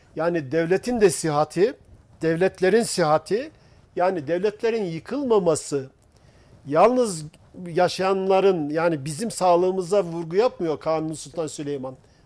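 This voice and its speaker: A man speaks at a fairly slow pace in a high voice, with ordinary pitch variation. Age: 60s. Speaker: researcher and author on Turkish history. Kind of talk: TV talk show discussion.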